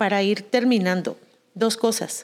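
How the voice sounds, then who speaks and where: A woman talks at a fairly slow pace and a medium pitch, with ordinary pitch variation. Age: 40s. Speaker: podcast co-host. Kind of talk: casual chat. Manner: animated.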